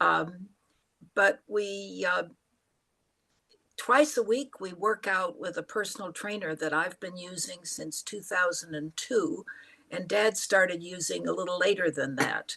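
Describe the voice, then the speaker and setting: A woman's medium-pitched voice at a fairly slow pace, with vocal fry, big swings in loudness and ordinary pitch variation. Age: 80s+. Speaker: retired parent interviewed by her child. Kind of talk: casual family interview.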